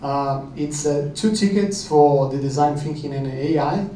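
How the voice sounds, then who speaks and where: A man with a Brazilian accent talks at a fairly high pitch with ordinary pitch variation. Audible room echo and noticeable background noise accompany him. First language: Portuguese. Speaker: company founder, sponsor. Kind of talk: event announcement.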